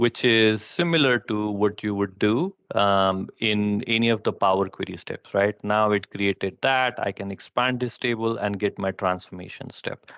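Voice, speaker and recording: A plain, everyday voice from a man, fairly low-pitched with fairly even intonation, at a moderate pace with hardly any pauses, dry with no echo against a quiet background. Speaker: presenter at a user group session; presenter. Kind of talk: technical presentation with live demo. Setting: live online session. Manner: many filler words. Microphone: headset.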